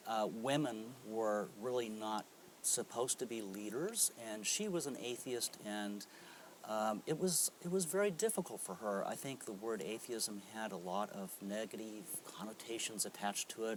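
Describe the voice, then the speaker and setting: A man with an ordinary speaking voice talks at a moderate pace, medium pitch and ordinary pitch variation. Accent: American. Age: 60s. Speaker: atheist interviewee, cellist. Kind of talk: interview. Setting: convention.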